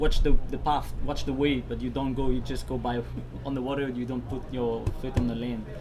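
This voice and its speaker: A man talks at a moderate pace over background music, with audible echo in the room. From Tahiti. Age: 30s. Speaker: outrigger canoe paddler. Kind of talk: interview.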